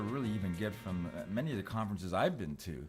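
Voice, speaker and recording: Lively intonation carries over music playing in the background. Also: man. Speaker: magazine publisher and conference moderator. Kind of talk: casual commentary conversation.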